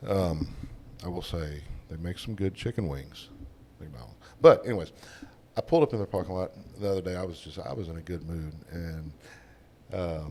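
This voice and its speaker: A man with a Southern US accent and a very deep, low, dark, mellow voice, at a fairly quick pace with ordinary pitch variation, long, frequent pauses and big swings in loudness. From Texas. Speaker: oil field worker. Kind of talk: casual chat.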